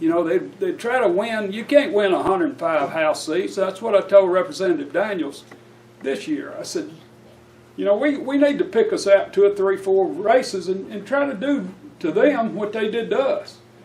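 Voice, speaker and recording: A man's high voice with an Alabama accent, very wide pitch swings and a moderate pace. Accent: US Southern, Alabama. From Alabama, Etowah County. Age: 60s. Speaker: labor union leader. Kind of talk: keynote speech.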